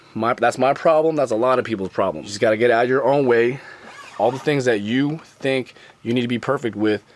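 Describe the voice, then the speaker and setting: A man speaks at a fairly quick pace with a medium pitch and ordinary pitch variation. Noticeable background noise is present. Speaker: YouTuber. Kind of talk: casual vlog talk to camera. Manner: casual, slangy, repetitive phrasing.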